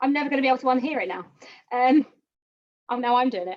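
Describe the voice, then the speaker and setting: A woman talks at a very fast pace in an upbeat tone, with a fairly high pitch and a West Country accent. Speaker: painting instructor. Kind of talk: tutorial. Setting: live online stream. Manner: chatty, upbeat.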